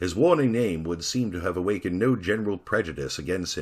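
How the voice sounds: What you hear is a natural reading voice.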